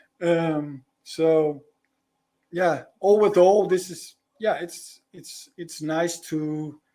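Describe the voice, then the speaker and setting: Speaking with a Dutch accent, a man uses a high pitch, fairly even intonation and a dark, mellow tone at a very slow pace, his loudness swinging widely. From Netherlands. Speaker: spiritual guide and sound healer. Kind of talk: live podcast interview. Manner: halting, many repetitions.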